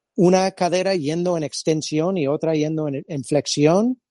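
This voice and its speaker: Speaking with an American accent, a man talks at a fairly slow pace. His pitch is high, with ordinary variation. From California. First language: English (speaking Spanish). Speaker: physiotherapist and movement-screening instructor. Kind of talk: interview. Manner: halting.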